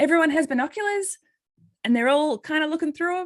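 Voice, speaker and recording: A woman speaks with an Australian accent. Her intonation is lively. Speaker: occupational therapist and nonprofit coordinator. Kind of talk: presentation. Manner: halting.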